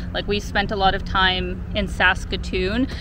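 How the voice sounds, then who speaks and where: A woman talks at a moderate pace, her voice dry with no echo over noticeable background noise. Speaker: travel vlogger. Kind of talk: casual vlog chat. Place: waterside. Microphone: phone near.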